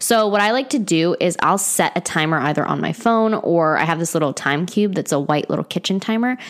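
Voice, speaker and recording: With hardly any pauses, a woman at medium pitch talks at a fairly quick pace, with lively intonation and very even loudness, over noticeable background noise. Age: 20s. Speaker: wellness podcast host. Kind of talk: casual solo podcast monologue. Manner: casual, chatty with laughs and sighs.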